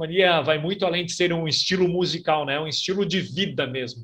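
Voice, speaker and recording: Quiet background, a man talking at a moderate pace. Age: 40s. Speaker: radio host and music reviewer; radio host, music reviewer. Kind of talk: casual video review. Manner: animated. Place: home room. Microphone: webcam.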